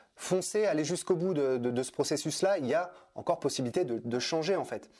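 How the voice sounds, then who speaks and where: Music is playing in the background. Over it, a man speaks fairly quickly. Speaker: personal development coach. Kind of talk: interview. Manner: hesitant, many fillers.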